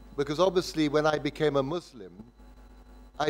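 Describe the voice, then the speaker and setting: A man with a southern English accent speaks at a moderate pace in a fairly high pitch, with ordinary pitch variation. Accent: English (southern, educated). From southern England (Windsor). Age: 70s. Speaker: lecturer. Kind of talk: lecture. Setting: lecture hall with audience.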